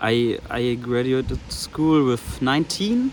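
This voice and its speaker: A man at a medium pitch, speaking at a very slow pace amid noticeable background noise. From Germany. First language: German. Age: 20s. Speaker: vlogger. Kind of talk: personal vlog monologue. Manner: halting.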